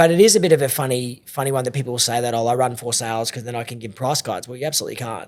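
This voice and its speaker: Recorded very cleanly against a silent background, a man with an Australian accent talks at a very fast pace. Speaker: auctioneer. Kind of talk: podcast interview.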